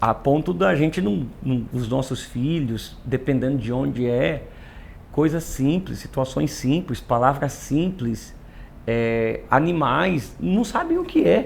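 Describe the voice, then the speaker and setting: A man talks at a very slow pace with a medium pitch. His delivery is somewhat breathy, with lively intonation. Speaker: pastor. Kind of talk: casual chat.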